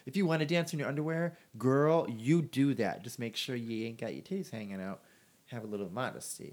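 Using a plain, everyday voice, a man speaks at a fairly quick pace with a medium pitch. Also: lively intonation. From Port Huron, Michigan. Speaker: podcast co-host. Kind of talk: casual chat.

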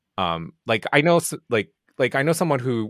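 Spoken with a Japanese accent, the voice sounds dry and close with no echo on a very clean recording against a silent background. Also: man. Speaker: indie game producer. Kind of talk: casual interview chat.

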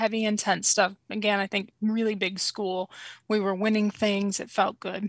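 A woman's fairly high, bright and sharp voice with an American accent, at a moderate pace, in a very clean recording with a silent background and a dry, close sound free of echo. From Springfield, Missouri. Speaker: small business owner. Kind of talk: casual interview.

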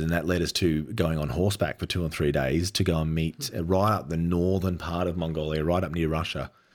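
Speaking with an Australian accent at a moderate pace, a man uses a very deep, low pitch and fairly even intonation on a very clean recording with a silent background. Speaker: adventure cinematographer. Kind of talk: casual interview.

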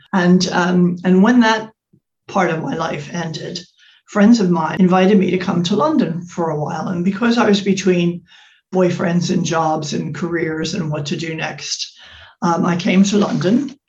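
Moderate pace with ordinary pitch variation. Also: woman, fairly low pitch for a woman. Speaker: fashion brand founder and life coach. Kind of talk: interview conversation. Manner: hesitant, many fillers.

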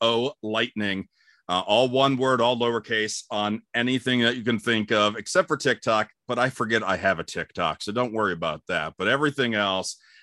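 On a very clean recording with a silent background and dry, close sound with no echo, a bright, sharp voice in an American accent keeps a moderate pace, hardly any pauses and ordinary pitch variation. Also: man. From Ohio, Cleveland. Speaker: radio host. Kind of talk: casual chat.

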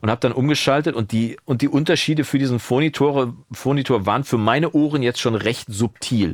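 A man's unremarkable speaking voice at medium pitch, fairly quick pace and ordinary pitch variation. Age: 50s. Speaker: podcast host and recording educator. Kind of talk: casual chat. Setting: studio.

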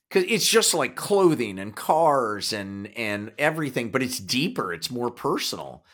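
A man with a Kansas accent speaks at a medium pitch and a fairly slow pace, with very wide pitch swings and hardly any pauses, in a very clean recording with a silent background. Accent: Kansas twang. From Kansas, US Midwest. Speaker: podcast co-host and actor. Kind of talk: casual conversation.

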